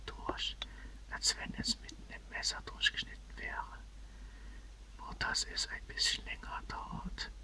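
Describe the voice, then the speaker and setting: Whispering from a woman at a very slow pace, with noticeable background noise. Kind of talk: audiobook reading. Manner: whispered.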